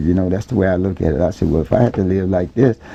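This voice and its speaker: Very deep and low, this man's somewhat breathy voice carries a dark, mellow tone and a Southern US accent. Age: 60s. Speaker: neighborhood resident interviewed. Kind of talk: oral history interview. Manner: halting, many repeated words.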